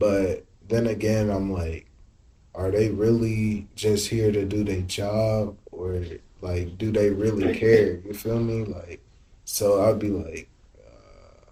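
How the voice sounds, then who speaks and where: Speaking at a very slow pace, a man has a dark, mellow tone at a fairly low pitch, somewhat breathy and monotone in flat intonation, with big swings in loudness. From Indianapolis. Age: 20s. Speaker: influencer and clothing brand owner. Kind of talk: interview answer.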